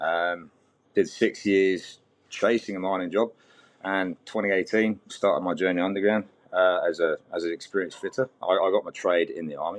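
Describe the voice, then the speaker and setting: Against a quiet background, a man with a British accent speaks at a moderate pace. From Britain. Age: 40s. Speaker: mining fitter, army veteran. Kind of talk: podcast interview. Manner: halting, repeats words.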